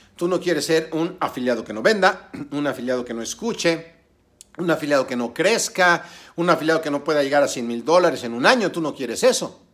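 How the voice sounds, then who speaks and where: A man's fairly high, animated voice at a fairly quick pace, with lively intonation. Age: 50s. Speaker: online business coach. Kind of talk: tutorial.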